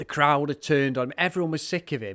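A man with a northern English accent, fairly high-pitched and animated, at a fairly quick pace on a very clean recording with a silent background. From northern England. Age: 40s. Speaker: wrestling podcaster. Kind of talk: casual chat.

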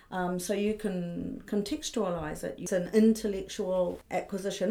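Her medium pitch carries vocal fry as the woman speaks at a moderate pace. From New Zealand, Auckland. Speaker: art fair director. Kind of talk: interview.

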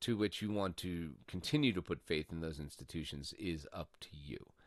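Recorded with a dry, close sound, no echo and a quiet background, a man with an American accent speaks using very wide pitch swings. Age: 30s. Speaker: political podcast host. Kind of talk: solo political commentary. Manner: animated.

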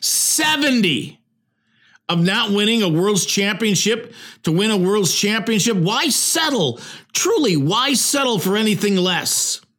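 With audible room echo, a man with an American accent speaks fairly slowly at a high pitch, in a bright, sharp tone with lively intonation and very even loudness. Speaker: sports podcast host. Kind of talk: solo sports commentary monologue.

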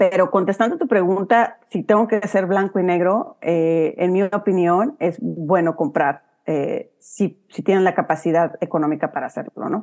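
A woman with an ordinary speaking voice talks at a fairly slow pace and medium pitch, with ordinary pitch variation and hardly any pauses. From Huasteca, Mexico. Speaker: real estate investor. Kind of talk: casual interview.

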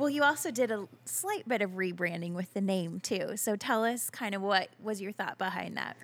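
A woman talks at a moderate pace with hardly any pauses. Hers is a plain, everyday voice, medium in pitch with ordinary pitch variation. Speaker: podcast host. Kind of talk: interview.

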